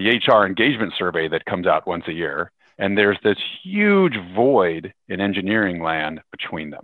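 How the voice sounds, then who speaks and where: Using a West Coast US accent, a man talks at a moderate pace with a fairly low pitch and ordinary pitch variation. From US, Seattle area. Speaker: tech company executive. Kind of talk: interview.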